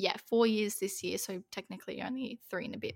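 A woman with an Australian accent. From Western Australia. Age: young. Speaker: podcast co-host. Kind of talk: casual chat.

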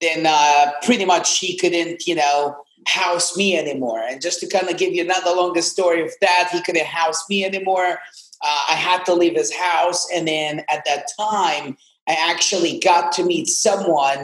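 A man with an Arabic accent speaks at a high pitch and a moderate pace. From Jordan (Amman). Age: 20s. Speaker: real estate investor. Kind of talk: casual interview. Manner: animated.

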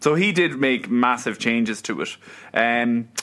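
A man speaks with an Irish accent and lively intonation. His tone is bright and sharp. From Ireland. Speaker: podcast co-host. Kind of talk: casual chat.

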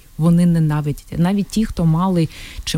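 Speaking with a Russian accent, a woman has a dark, mellow tone and fairly low pitch. Her pace is moderate and her pitch varies in an ordinary way. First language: Russian (speaking Ukrainian). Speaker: city council member and entrepreneur. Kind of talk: radio interview, testimony. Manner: halting, with repetitions.

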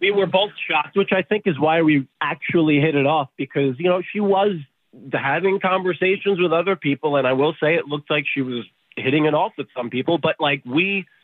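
A man's voice, an ordinary speaking voice, fairly high-pitched, at a fairly quick pace. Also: ordinary pitch variation. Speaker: radio show phone guest. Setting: phone.

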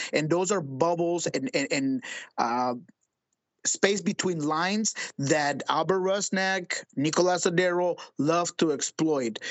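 A man speaks at a very slow pace. His voice sits high for a man, with ordinary pitch variation. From Colombia. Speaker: soccer reporter. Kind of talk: interview.

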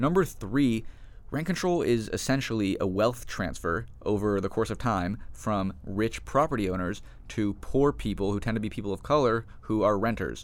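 A man speaks at a moderate pace with an American accent and a normal speaking voice. His pitch sits fairly low, and his intonation is lively. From Los Angeles. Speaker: graduate student and activist. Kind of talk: interview.

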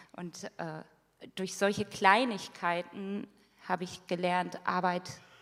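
Speaking very slowly, a woman uses a medium pitch. Her intonation stays fairly even. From northern Germany, rural area near Hanover. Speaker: social education worker. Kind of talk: church testimony interview.

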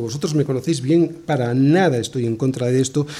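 A man is speaking. He has a Spanish accent. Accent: Spain. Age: 60s. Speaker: pastor. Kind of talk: sermon.

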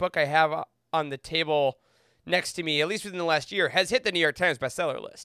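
A man speaks in an enthusiastic tone. His voice is bright and sharp. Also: dry, close sound with no echo. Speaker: Star Wars book expert. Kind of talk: casual chat.

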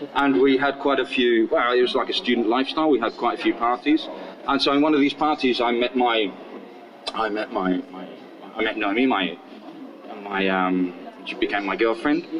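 A man with a southern English accent speaks at a moderate pace and medium pitch, with ordinary pitch variation, long, frequent pauses and noticeable background noise. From southern England (Portsmouth). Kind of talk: casual interview storytelling.

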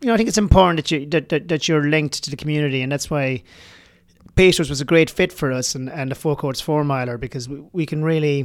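With a slight Irish accent, a man speaks very fast in a fairly high voice on a very clean recording with a silent background. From rural Ireland. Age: 40s. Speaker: bar general manager and runner. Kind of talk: interview. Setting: studio.

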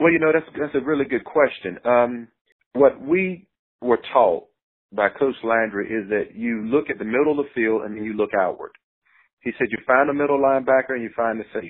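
A man with a normal speaking voice and an American accent, medium pitch, ordinary pitch variation and a fairly quick pace. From North Carolina. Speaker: former pro football player. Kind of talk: interview.

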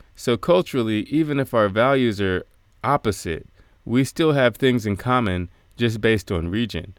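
A man with an American accent talks at a moderate pace in medium pitch, with lively intonation and an unremarkable speaking voice. The sound is dry and close with no echo, and the recording is very clean against a silent background. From United States. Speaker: radio commentator. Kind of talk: scripted commentary.

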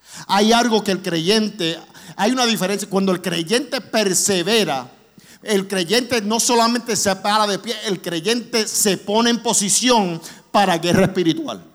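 A man's high-pitched voice at a fairly slow pace. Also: ordinary pitch variation. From New York (Brooklyn), raised partly in Orlando. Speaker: guest preacher, charity vice president. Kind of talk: sermon. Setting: church. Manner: raises voice with passion.

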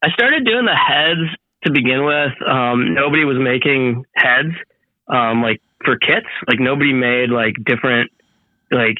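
Here is a man with an ordinary speaking voice at a medium pitch and ordinary pitch variation. He keeps very even loudness at a fairly slow pace. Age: 30s. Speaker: moped builder and engineer. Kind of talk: casual chat.

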